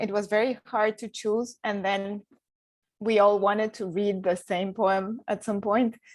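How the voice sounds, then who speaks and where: Speaking with a Spanish accent, a woman keeps a medium pitch. Her pace is very slow. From Mexico. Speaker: poet. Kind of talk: poetry reading with commentary. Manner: hesitant, with fillers.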